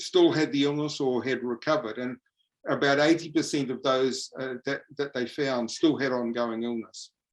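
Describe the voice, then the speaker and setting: Speaking with a New Zealand accent is a man. His pitch is fairly high and his pace moderate. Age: 70s. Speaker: professor. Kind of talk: lecture. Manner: halting.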